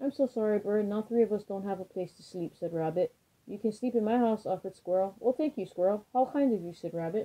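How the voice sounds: The delivery is a natural reading voice with ordinary pitch variation.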